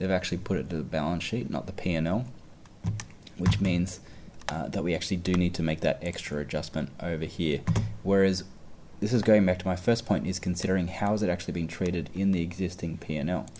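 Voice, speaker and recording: Very fast and very deep, a man's dark, mellow voice holds fairly even intonation. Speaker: exam tutor. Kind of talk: tutorial.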